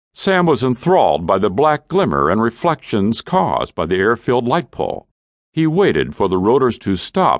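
Over a quiet background, a man's voice shows vocal fry and very wide pitch swings, recorded dry and close with no echo. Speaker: audiobook narrator. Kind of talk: dramatic audiobook narration of a war story. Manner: grave, measured, suspenseful pacing that builds toward the gory accident.

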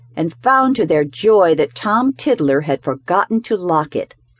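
The recording carries a natural reading voice.

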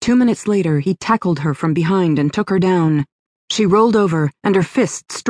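Against quiet surroundings, the text is read aloud in a natural voice.

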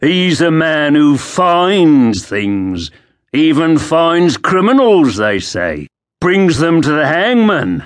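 Against a quiet background, a man puts on a character voice, pitched fairly high and delivered at a very slow pace. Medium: read story. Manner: mocking, insolent.

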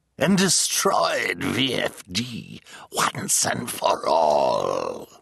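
A raspy, cackling put-on character voice from a man at a very slow pace. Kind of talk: theatrical audiobook character voice. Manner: pompous, gloating, dramatic; cackling, bragging.

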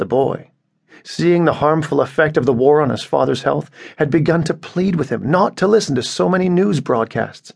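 A man's voice with vocal fry, at a moderate pace, with ordinary pitch variation. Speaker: audiobook narrator. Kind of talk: dramatic literary narration, reading a short story aloud. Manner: measured, grave storytelling pace; somber, sorrowful tone for scenes of persecution.

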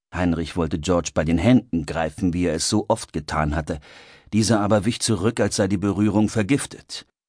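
Reading voice, unforced, its pitch moving in an ordinary way

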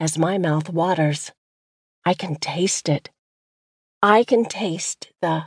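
In a dry, close recording with no echo, a woman speaks at a very slow pace. Long, frequent pauses break up her words, and her pitch varies in an ordinary way. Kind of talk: audiobook poetry reading, devotional spoken word. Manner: measured, earnest, expressive cadence.

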